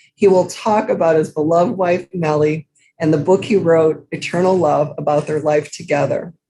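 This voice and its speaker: At a moderate pace, a woman speaks in a fairly low pitch with a dark, mellow tone and fairly even intonation. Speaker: program moderator. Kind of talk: event introduction.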